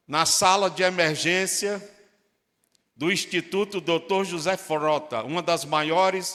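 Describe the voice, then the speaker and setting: A man with a high pitch and a bright, sharp tone, very slow in pace with ordinary pitch variation, on a very clean recording with a silent background. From Brazil, Northeast (Fortaleza, Ceará). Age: 60s. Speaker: pastor. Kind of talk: sermon.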